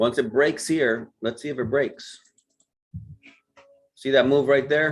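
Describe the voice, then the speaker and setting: A man's medium-pitched voice at a fairly slow pace with fairly even intonation, music playing in the background. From Puerto Rico. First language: Spanish. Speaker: forex trading mentor. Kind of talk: live trading stream commentary. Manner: casual, thinking aloud.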